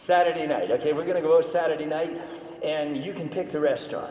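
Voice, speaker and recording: Amid noticeable background noise and audible room echo, a man speaks in a high, animated voice with ordinary pitch variation. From Canada. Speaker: business speaker. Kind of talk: seminar talk. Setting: stage with audience.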